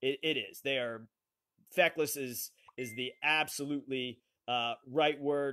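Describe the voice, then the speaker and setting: Loud and fairly slow, a man speaks. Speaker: online talk show host; live stream host. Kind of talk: live call-in show conversation. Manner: halting, many fillers. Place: home room. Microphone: phone near.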